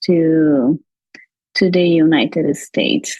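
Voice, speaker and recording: A woman speaks in a somewhat breathy voice with a Portuguese accent. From Brazil. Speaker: immigrant physician sharing her experience. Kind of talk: podcast interview, personal testimony. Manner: halting, with fillers and restarts.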